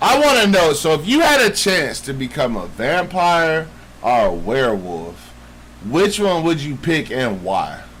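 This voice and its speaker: Room echo is audible as a man with a fairly high pitch speaks in an animated tone. He talks at a fairly slow pace, with very wide pitch swings. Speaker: podcast co-host. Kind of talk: casual chat. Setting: live stream.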